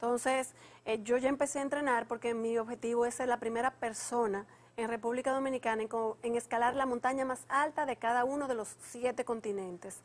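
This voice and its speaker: Her pitch high, a woman talks at a fairly quick pace. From Dominican Republic. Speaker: mountaineer; guest. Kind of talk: TV interview. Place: studio. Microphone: lapel.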